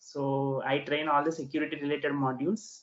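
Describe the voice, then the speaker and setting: A man with an Indian accent speaks at a fairly high pitch. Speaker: corporate security trainer. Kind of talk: casual chat.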